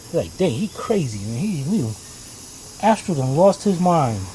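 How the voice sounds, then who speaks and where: A man with a fairly high pitch is heard against noticeable background noise. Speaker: auto repair youtuber. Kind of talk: tutorial. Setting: outdoors.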